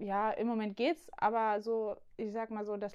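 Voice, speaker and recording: Monotone, flat intonation from a woman with a fairly high pitch. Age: 20s. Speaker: youth church worker. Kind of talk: casual chat.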